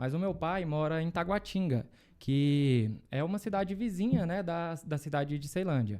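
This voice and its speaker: Lively intonation and a dark, mellow tone in a Goiás accent, on a very clean recording with a silent background. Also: man, fairly high pitch for a man, moderate pace. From Brazil, Goiás (Luziânia, near Brasília). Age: 20s. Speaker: lawyer. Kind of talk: interview.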